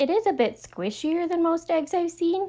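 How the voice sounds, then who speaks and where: An extremely high, squeaky put-on character voice speaks at a moderate pace. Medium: read story. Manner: huffy, bossy.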